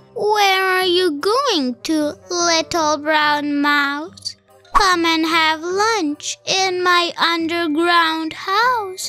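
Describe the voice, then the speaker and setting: A woman speaks in a put-on character voice at a very slow pace, with faint music in the background. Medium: read story.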